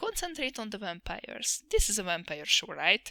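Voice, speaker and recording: A woman with a non-native accent, bright and sharp in tone, at a moderate pace with ordinary pitch variation, in a dry, close sound with no echo. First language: not English. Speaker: anime reviewer, vtuber. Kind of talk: sarcastic review monologue.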